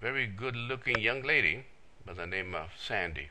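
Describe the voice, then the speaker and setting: Lively in intonation and bright, sharp in tone, the voice moves at a moderate pace with audible room echo. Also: man. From El Paso area, US-Mexico border (Texas/New Mexico). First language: Spanish. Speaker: internet marketer. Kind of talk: self-introduction video. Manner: many filler words.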